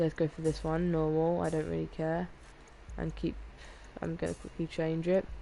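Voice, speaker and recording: A woman talks at a moderate pace, leaving long, frequent pauses. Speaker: gaming streamer. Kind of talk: live game commentary. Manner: monotone; halting, self-correcting.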